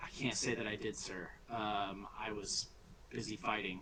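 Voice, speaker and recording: A man puts on a raspy character voice at a fairly low pitch and a moderate pace, with clear background noise behind him. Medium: actual play. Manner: deferential, addresses listener as sir.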